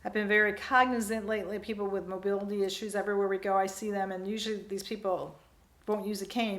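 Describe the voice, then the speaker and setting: Very fast speech in monotone, flat intonation, with audible room echo. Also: woman. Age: 60s. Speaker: vlogger. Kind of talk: personal vlog monologue.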